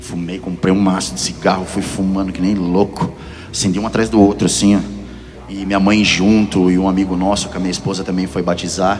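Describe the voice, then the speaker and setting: Very deep and low, a man's voice carries fairly even intonation. Audible room echo and noticeable background noise are present. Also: fairly quick pace. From Piracicaba, São Paulo state, Brazil. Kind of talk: testimony.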